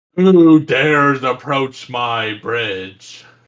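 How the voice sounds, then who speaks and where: The speaker is a man at a medium pitch. He is using a put-on character voice. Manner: challenging.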